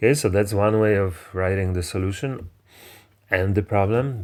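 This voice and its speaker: Very deep, low pitch from a man at a moderate pace, with ordinary pitch variation. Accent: Polish. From Poland. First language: Polish. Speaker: math teacher. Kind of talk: lecture. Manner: halting, with many fillers.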